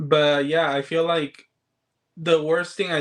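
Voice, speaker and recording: The speaker is a man whose intonation is monotone and flat. He keeps a moderate pace. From Chile. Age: 30s. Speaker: movie collector and social media creator. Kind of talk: casual interview chat.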